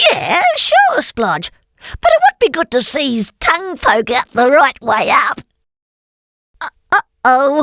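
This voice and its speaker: In a high-pitched cartoonish character voice, the speaker goes at a fairly slow pace with long, frequent pauses. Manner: lively, giggly.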